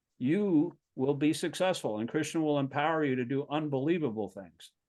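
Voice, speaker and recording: At a moderate pace, a man talks in a fairly high pitch with ordinary variation. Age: 60s. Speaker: spiritual teacher. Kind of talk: casual scripture discussion. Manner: halting.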